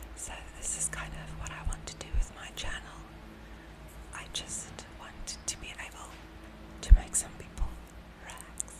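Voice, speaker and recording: Loud background noise sits under the speech. The pace is moderate, with long, frequent pauses. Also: woman. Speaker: ASMR content creator. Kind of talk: ASMR whisper ramble. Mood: friendly, slightly nervous. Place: home room. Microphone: studio mic.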